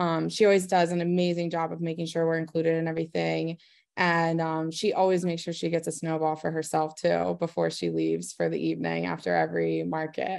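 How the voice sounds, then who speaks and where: A woman at a fairly quick pace with hardly any pauses, quiet background. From Maryland, Eldersburg; Maryland. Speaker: small business owner. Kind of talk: interview. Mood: warm, friendly. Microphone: video call.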